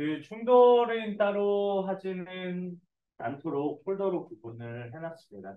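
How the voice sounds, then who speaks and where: A high-pitched man at a very slow pace, with lively intonation. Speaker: programming instructor. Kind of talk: lecture. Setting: classroom with students. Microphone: speaking without microphone, mic unreliable.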